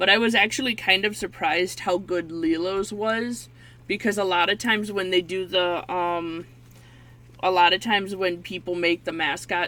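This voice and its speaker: A woman with a bright, sharp tone talks at a moderate pace and a medium pitch. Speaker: YouTuber and painter. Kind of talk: casual chat. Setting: face cam video at home. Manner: loud when excited; halting.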